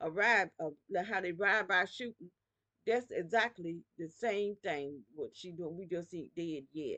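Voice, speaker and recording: With a bright, sharp tone, a woman speaks at a fairly slow pace. Her delivery is animated, with big swings in loudness. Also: medium pitch for a woman, ordinary pitch variation. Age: 60s. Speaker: video blogger. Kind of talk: personal video monologue. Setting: at home.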